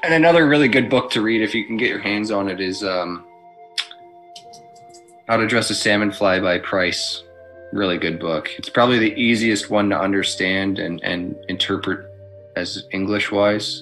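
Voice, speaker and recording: Long, frequent pauses break up the speech while faint music plays in the background. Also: man. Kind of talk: tutorial. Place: home room. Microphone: webcam.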